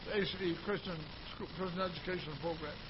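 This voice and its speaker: Noticeable background noise behind a man talking. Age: 70s. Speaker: pastor. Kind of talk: sermon. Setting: church.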